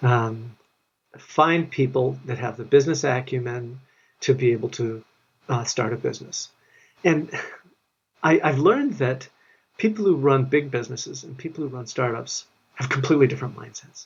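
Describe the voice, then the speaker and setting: A man with an American accent speaks at a medium pitch and moderate pace, somewhat breathy, with ordinary pitch variation, big swings in loudness, and long, frequent pauses. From US Midwest, Minneapolis, Minnesota. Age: 60s. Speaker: tech founder. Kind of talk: interview. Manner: hesitant, many fillers.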